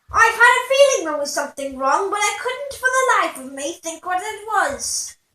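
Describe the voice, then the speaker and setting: Putting on a character voice, a woman speaks at an extremely high pitch with very wide pitch swings. Her moderate pace has hardly any pauses. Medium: read story.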